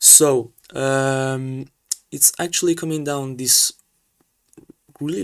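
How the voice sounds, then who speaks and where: With an Italian accent, a man speaks at a medium pitch in a dry, close sound with no echo. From Italy. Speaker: sailing race commentator / streamer. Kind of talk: live commentary. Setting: live stream. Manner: halting.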